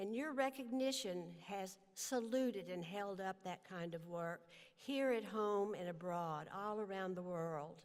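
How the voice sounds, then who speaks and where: A woman with lively intonation and medium pitch speaks fairly slowly, with audible room echo. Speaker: honorary degree recipient, humanitarian leader. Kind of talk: commencement speech. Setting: stage with audience.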